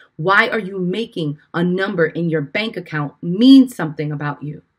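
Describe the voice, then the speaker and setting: A woman with a New York accent, animated tone, lively intonation, medium pitch, and a moderate pace. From Brooklyn, New York; Puerto Rican family. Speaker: life and business coach, podcast host. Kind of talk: motivational podcast talk. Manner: loud.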